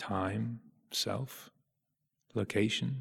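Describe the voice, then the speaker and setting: A man speaks with lively intonation and a somewhat breathy voice. The recording is very clean, with a silent background. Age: 50s. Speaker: Buddhist meditation teacher. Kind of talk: dharma talk. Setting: meditation retreat. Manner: slow.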